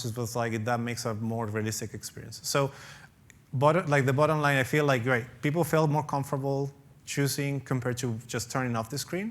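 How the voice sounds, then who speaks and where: A man with a non-native accent talks at a medium pitch and a fairly quick pace, using ordinary pitch variation. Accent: foreign. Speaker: professor. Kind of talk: conference talk Q&A.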